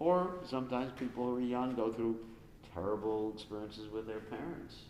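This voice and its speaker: Both audible room echo and noticeable background noise accompany this man's speech. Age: 70s. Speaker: spiritual teacher. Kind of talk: question and answer session. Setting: live stream. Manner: conversational, many fillers.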